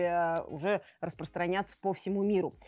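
A woman is speaking. She talks at a moderate pace. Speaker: product reviewer for motorcycle store. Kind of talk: product review presentation. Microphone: lapel.

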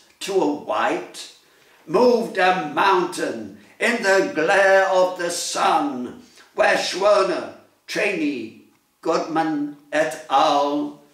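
The speech moves at a very slow pace against a quiet background, with audible room echo. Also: man. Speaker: poet. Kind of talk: poetry reading. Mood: solemn, commemorative. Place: home room. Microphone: phone near.

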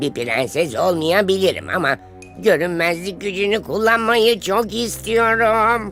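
A cartoonish character voice at middle pitch and a fairly slow pace, over clear music in the background. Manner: excitable, flustered.

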